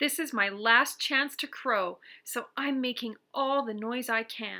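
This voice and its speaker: A woman uses a put-on character voice pitched high and delivered at a fairly slow pace. The recording is very clean with a silent background. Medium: read story.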